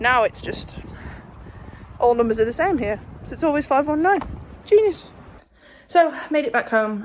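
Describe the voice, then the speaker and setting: The voice is quiet, at a moderate pace with very wide pitch swings. Long, frequent pauses break up the speech. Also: woman, high pitch for a woman. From northwest England, Runcorn. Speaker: vlogger. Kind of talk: casual vlog. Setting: outdoors walking.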